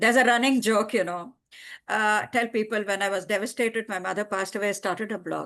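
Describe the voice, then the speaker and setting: The speaker has an Indian accent and talks at a very fast pace. The background is quiet. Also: woman, fairly high pitch for a woman. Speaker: writer. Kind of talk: casual chat. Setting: video call.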